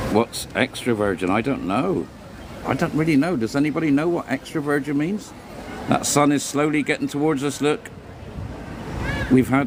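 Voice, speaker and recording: A man with an English accent and ordinary pitch variation, set against noticeable background noise. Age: 60s. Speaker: livestream host. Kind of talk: casual chat.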